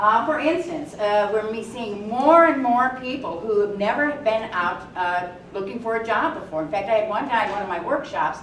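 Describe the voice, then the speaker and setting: Lively intonation and a fairly quick pace come through alongside noticeable background noise and audible room echo. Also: woman. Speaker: workshop presenter, job search counselor. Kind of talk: workshop talk. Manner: loud.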